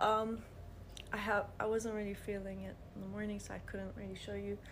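Amid audible room echo, a woman speaks at a moderate pace. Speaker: vlogger. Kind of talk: casual vlog. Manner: halting, many fillers.

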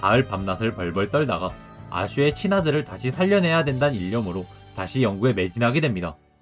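Over music in the background, a man at a medium pitch talks at a fairly quick pace with very wide pitch swings. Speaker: game lore video creator. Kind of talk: game story narration. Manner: casual, with offhand remarks.

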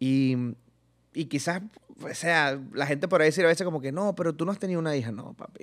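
The background stays quiet. A man's voice moves fairly quickly, its pitch varying in an ordinary way. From Venezuela, Barinas (llanos region); Venezuela. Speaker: comedian and youtuber; comedian, youtuber. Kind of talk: casual interview chat. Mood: relaxed, animated storytelling. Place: studio. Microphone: studio mic.

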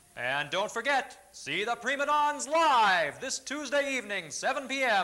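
Raised and projected, a man's extremely high-pitched voice carries a bright, sharp tone at a fairly slow pace. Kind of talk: TV commercial read.

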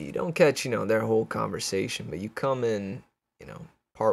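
The background is quiet here. It is plain reading aloud with ordinary pitch variation.

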